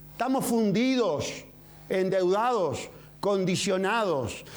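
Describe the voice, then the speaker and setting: Speaking with a Uruguayan accent, a man is heard against audible room echo. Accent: Uruguayan Spanish (rioplatense). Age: 60s. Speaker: presidential candidate. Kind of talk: political interview. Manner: vehement.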